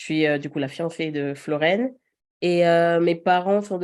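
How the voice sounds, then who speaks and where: Over a quiet background, a woman with an ordinary speaking voice talks at a fairly slow pace, medium in pitch with ordinary pitch variation. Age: 30s. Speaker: podcast guest, mother. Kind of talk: casual interview conversation.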